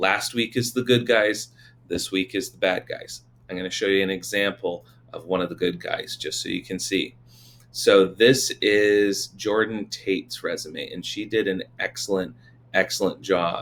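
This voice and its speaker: A man with an unremarkable speaking voice, pitched fairly low, speaks at a moderate pace with ordinary pitch variation. His loudness swings widely. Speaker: teacher. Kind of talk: tutorial.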